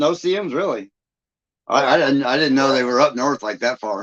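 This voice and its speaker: An unremarkable speaking voice with an American accent. The intonation is lively and the pace fairly quick. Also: man. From Michigan. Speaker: livestream host, YouTuber. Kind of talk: casual chat. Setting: live stream.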